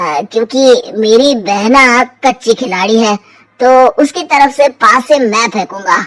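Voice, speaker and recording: A woman does a cartoonish character voice at a high pitch. She uses lively intonation and a very slow pace. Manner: sly, mocking, self-satisfied.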